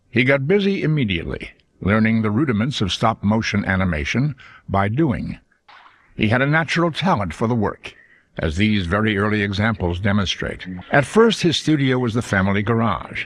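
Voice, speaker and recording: With lively intonation and a fairly quick pace, a man speaks in a normal speaking voice at a fairly low pitch. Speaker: narrator. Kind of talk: documentary narration.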